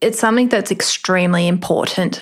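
With an Australian accent, this woman talks at a medium pitch. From Australia, Melbourne northern suburbs. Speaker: rural doctor. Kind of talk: interview.

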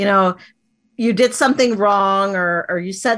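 With an ordinary speaking voice, a woman talks at a fairly slow pace and a medium pitch with ordinary pitch variation, recorded very cleanly against a silent background. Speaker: life empowerment coach. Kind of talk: coaching talk in interview.

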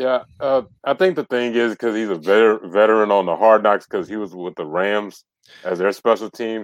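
Against a quiet background, a man with an American accent uses a normal speaking voice, a fairly low pitch, ordinary pitch variation and a moderate pace. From US South. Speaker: sports podcaster. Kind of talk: casual chat.

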